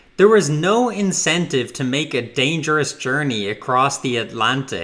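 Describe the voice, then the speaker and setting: The speaker is a man with a fairly high voice. He talks at a fairly slow rate. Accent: Irish. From Ireland. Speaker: political commentator. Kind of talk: scripted narration.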